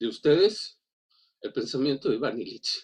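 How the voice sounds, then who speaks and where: A man speaks at a fairly slow pace in a fairly high voice, his pitch swinging very widely. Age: 60s. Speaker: teacher. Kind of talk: seminar comment. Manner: halting, many fillers and repetitions.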